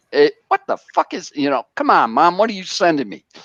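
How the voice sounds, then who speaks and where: This man's voice is high-pitched. He talks at a fairly quick pace. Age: 70s. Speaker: car enthusiast live streamer. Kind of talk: casual chat. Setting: garage live stream. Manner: halting.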